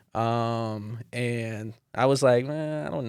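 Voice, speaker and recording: A man with a Spanish accent talks at a medium pitch. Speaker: dancer and youth mentor. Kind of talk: casual podcast chat.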